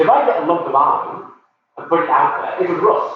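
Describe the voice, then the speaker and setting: A man is shouting at a moderate pace. Audible room echo surrounds his voice. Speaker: science educator running a workshop. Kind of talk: live workshop lecture. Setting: live stream from workshop. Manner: loud, shouting to be heard.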